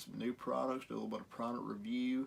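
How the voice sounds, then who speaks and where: A man speaks in a strong Southern US accent with monotone, flat intonation. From US South. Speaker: guitar repair youtuber. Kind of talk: tutorial. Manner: casual, hesitant with fillers.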